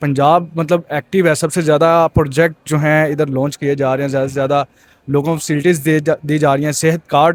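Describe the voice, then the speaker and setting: A man's fairly high voice comes through flat and monotone, recorded dry and close with no echo. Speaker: street interviewer. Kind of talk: street interview questions.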